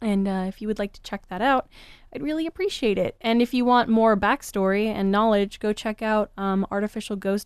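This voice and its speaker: Recorded dry and close with no echo against a quiet background, a woman has an unremarkable speaking voice at medium pitch with fairly even intonation. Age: 20s. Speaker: podcast co-host. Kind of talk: casual chat. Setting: same room.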